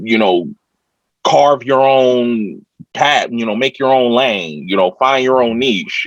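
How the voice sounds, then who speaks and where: A man's medium-pitched voice with lively intonation, at a very slow pace. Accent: American. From Ohio, Youngstown. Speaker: rapper. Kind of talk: interview. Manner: over-enunciates words.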